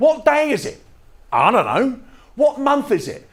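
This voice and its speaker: This is a man speaking. He has an English accent. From England. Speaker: touring fringe performer and poet. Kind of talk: spoken-word storytelling show.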